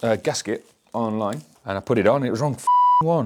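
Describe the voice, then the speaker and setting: A man speaks with a British accent. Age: 40s. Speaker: motorcycle restoration YouTuber. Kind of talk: casual workshop vlog.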